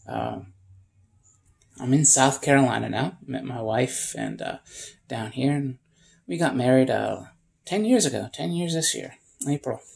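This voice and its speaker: A man talks fairly slowly, pausing often and at length. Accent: American. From upstate New York. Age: 40s. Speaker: homesteader. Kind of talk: casual vlog monologue.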